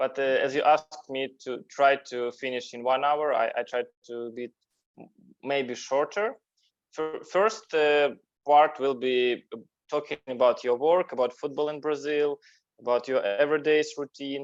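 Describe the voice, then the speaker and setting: A man with a non-native accent speaks at a moderate pace and a fairly high pitch. His loudness swings a lot, while his pitch varies in an ordinary way. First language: Russian. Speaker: interview show host. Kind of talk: interview. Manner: halting.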